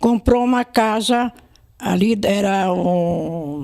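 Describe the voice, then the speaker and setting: This woman's voice sits at a medium pitch and carries a dark, mellow tone. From interior of São Paulo state, Brazil. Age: 80s+. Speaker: elderly former resident. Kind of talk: oral history interview. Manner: halting, with many repetitions and restarts.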